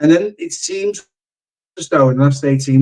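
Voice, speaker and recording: With a Liverpool accent, the speaker talks at a moderate pace. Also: man. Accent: Scouse. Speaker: football content creator. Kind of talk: casual football discussion.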